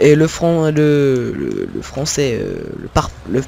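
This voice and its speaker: A man's fairly high-pitched voice is heard through noticeable background noise. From Picardy, northern France. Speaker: gaming youtuber. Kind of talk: gameplay commentary. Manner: hesitant, many fillers and repetitions.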